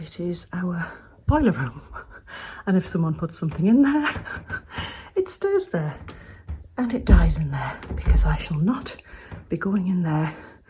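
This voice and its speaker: Over noticeable background noise, a woman talks in an English accent. She keeps a moderate pace with long, frequent pauses. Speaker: lifestyle vlogger. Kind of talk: casual vlog.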